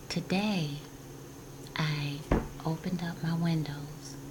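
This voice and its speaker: Over noticeable background noise, a woman speaks in a monotone, flat way at a very deep, low pitch. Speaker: spiritual guidance vlogger. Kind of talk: casual spiritual talk. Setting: home office. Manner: whispering.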